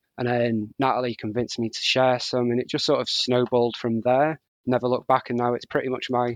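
A man with a plain, everyday voice and a medium pitch talks at a fairly quick pace, with a dry, close sound with no echo on a very clean recording with a silent background. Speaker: scrapbooker and content creator. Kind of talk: casual interview chat.

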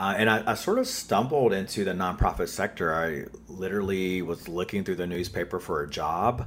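In a Southern US accent, the speaker moves at a fairly quick pace with hardly any pauses. The pitch varies in an ordinary way. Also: man, very deep, low pitch for a man. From North Carolina, US South. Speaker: author and activist. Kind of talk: interview answers. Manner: informal, conversational with fillers.

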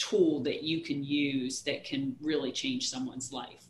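Over noticeable background noise, a woman with an American accent speaks in a very deep, low voice with fairly even intonation. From rural West Virginia, US. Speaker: education consultant and company founder. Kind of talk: interview.

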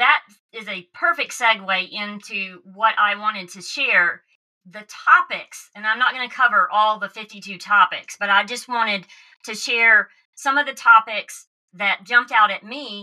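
A woman speaks fairly slowly with a Southern US accent, her pitch fairly high and her pitch variation ordinary. Her loudness swings widely. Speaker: podcast host. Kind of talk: casual interview chat.

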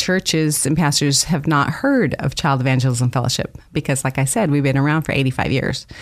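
American-accented speech from a woman, its pitch varying in an ordinary way. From Idaho. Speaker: children's ministry director. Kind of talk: radio interview.

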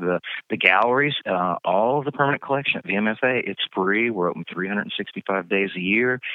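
A man with an Appalachian Virginia accent speaks at a moderate pace with ordinary pitch variation. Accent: Southern US (Appalachian Virginia). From Southwest Virginia, US. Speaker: museum educator. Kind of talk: interview.

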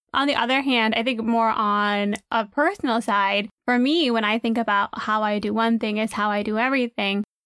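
Hardly pausing, a woman speaks at a moderate pace in a fairly high, bright and sharp voice, with very even loudness and fairly even intonation. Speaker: podcast co-host. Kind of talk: casual chat. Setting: recorded in a closet.

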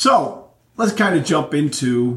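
A man speaks fairly slowly with lively intonation in a plain, everyday voice. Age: 50s. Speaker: podcast host. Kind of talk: casual solo monologue. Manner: relaxed, filler-heavy.

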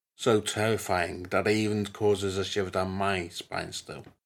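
In an ordinary speaking voice, a man with a fairly low pitch talks at a fairly slow pace on a very clean recording with a silent background. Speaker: storytelling host. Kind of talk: true-crime narration, spooky storytelling. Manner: measured, grave, solemn narration; warm, intimate with listeners.

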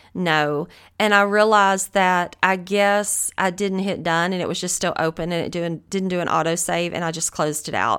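On a very clean recording with a silent background, a woman speaks in a Southern US accent at a fairly low pitch. She keeps fairly even intonation and hardly any pauses. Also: moderate pace. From US South. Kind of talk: devotional Bible teaching monologue.

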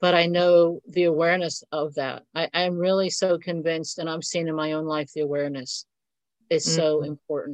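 A woman with an American accent has a normal speaking voice, fairly low in pitch. She talks at a fairly quick pace with fairly even intonation against a quiet background. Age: 60s. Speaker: economics and finance teacher. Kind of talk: casual chat.

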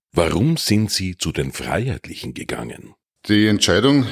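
A man talks with a Styrian accent at a moderate pace. The recording is very clean with a silent background. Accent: Styrian Austrian German. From Styria, Austria (Murtal). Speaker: politician, member of parliament. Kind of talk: interview answers.

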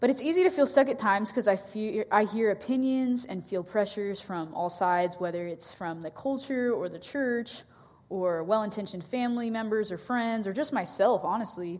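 A woman with a West Coast accent at a fairly quick pace, ordinary pitch variation, on a very clean recording with a silent background. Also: fairly high pitch for a woman, hardly any pauses. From US Pacific Northwest. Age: 20s. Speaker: campus ministry staff. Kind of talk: sermon. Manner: hesitant, many fillers.

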